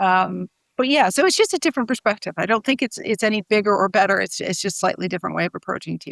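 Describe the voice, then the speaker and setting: Speaking at a very fast pace with an American accent, a woman of medium pitch shows ordinary pitch variation, vocal fry and big swings in loudness, in a dry, close sound with no echo. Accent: sounds American. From United States. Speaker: TV showrunner and screenwriter. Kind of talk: interview. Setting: video call. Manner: hesitant, many fillers and repeats.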